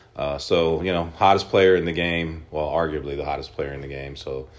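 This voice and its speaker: There's audible room echo as a man with an American accent talks at a moderate pace with a very deep, low pitch. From Oklahoma. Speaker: sports card shop owner. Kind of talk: interview.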